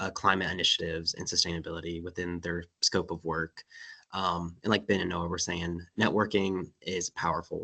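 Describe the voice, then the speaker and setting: The tone is bright and sharp, the intonation monotone and flat. The sound is dry and close with no echo, against a quiet background. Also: man, very deep, low pitch for a man, moderate pace. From North Carolina. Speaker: panelist in environmental field. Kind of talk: panel webinar discussion.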